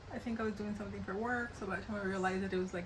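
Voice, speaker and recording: A woman with an American accent at a medium pitch, talking very fast in fairly even intonation, with audible room echo and noticeable background noise. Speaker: beauty vlogger. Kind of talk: casual get-ready-with-me chat. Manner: chatty, casual with hesitations.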